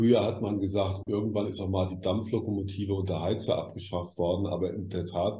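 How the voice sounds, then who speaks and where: A man speaks at a moderate pace in a very deep, low voice with a dark, mellow tone. His voice is somewhat breathy, and there is audible room echo. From West Germany. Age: 60s. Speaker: media expert. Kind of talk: interview.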